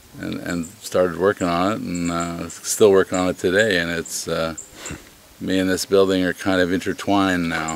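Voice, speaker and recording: A man with an American accent at a very deep, low pitch in a monotone, flat delivery, with noticeable background noise. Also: moderate pace. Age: 60s. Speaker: inn owner. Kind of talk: interview. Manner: halting, many fillers.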